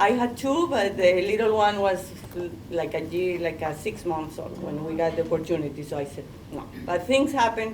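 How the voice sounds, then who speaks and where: Woman at a moderate pace, with audible room echo and noticeable background noise. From Colombia. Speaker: artist. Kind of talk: panel discussion.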